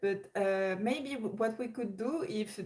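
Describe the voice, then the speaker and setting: A woman speaks at a very slow pace with a dark, mellow tone. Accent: French. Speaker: live streamer. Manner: hesitant, many fillers and repetitions.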